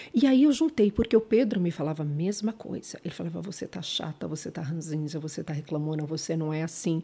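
Very fast, with hardly any pauses, lively intonation, big swings in loudness, and a dark, mellow, somewhat breathy tone. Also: woman, fairly low pitch for a woman. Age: 50s. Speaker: former judge and social media creator. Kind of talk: casual interview chat.

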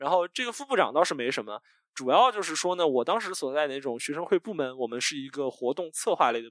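At a very fast pace, a man with fairly high pitch speaks with lively intonation and big swings in loudness, in a dry, close sound with no echo. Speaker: podcast host, guest here. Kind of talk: casual interview. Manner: energetic, youthful.

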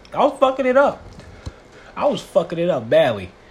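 A man talking at a fairly quick pace amid noticeable background noise. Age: 20s. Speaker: podcaster. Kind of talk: casual monologue. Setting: at home. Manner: animated.

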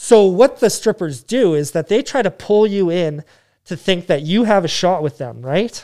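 On a very clean recording with a silent background, a man with a Canadian accent speaks at a moderate pace in a high, dark, mellow voice with lively intonation. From Yukon, Canada. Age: 30s. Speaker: gym owner. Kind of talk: casual chat.

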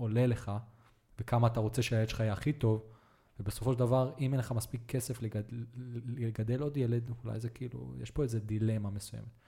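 A man's medium-pitched voice, dark, mellow and somewhat breathy, at a moderate pace with monotone, flat intonation. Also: very clean recording, silent background. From Israel (Netanya). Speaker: podcast host. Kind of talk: casual interview chat.

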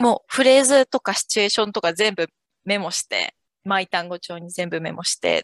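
A woman speaks with a fairly high pitch. Her voice swings very widely in pitch. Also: dry, close sound with no echo. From Japan, Yokohama. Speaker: French teacher. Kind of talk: interview.

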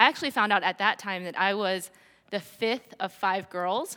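On a very clean recording with a silent background, a woman with an American accent speaks at a fairly quick pace in a medium-pitched voice with a bright, sharp tone. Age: 40s. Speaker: church lay leader. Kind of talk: sermon.

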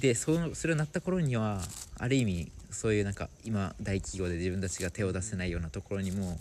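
Fairly low in pitch, a man speaks at a fairly quick pace with lively intonation. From Okinawa. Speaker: social activist. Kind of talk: casual interview.

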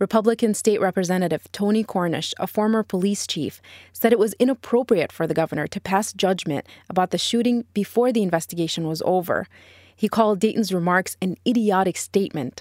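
Recorded very cleanly with a silent background and a dry, close sound with no echo, a woman speaks at a fairly quick pace. She has an unremarkable speaking voice at a medium pitch with ordinary pitch variation. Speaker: podcast reporter. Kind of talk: scripted narration. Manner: serious, measured.

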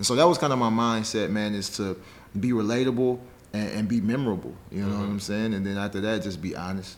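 With audible room echo, a man talks very fast at a fairly low pitch with ordinary pitch variation. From Nashville, Tennessee (partly Chicago). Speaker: education entrepreneur. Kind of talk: casual interview.

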